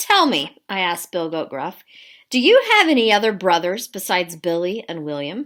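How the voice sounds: Nothing much stirs in the quiet background. The speaker has a natural reading voice.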